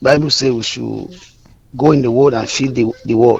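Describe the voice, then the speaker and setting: A man speaks at a medium pitch and a moderate pace, with ordinary pitch variation and noticeable background noise. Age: 30s. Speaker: caller. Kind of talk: phone-in comment. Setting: phone call.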